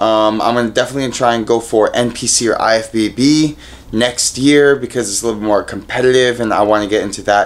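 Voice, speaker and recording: The man's intonation holds fairly even. He moves along at a fairly quick pace. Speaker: fitness vlogger. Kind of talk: casual vlog chat. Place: home room. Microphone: phone near.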